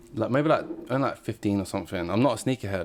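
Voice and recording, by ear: Speaking fast, a man uses a fairly low pitch and lively intonation.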